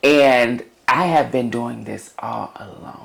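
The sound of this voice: The speech is slow, with vocal fry. The tone is fairly bright, and the pitch variation is ordinary.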